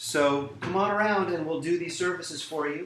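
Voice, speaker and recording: A man speaks with audible room echo. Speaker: lawyer. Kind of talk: promotional talk. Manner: fast; animated.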